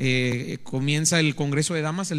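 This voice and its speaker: Fairly high male pitch in a plain, everyday voice, with ordinary variation in pitch. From Mexico, Veracruz. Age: 30s. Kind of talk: testimony. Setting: studio.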